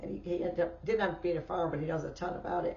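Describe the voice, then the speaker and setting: Audible room echo surrounds a woman who talks at a very fast pace. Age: 70s. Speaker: podcast host. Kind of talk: casual chat. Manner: halting.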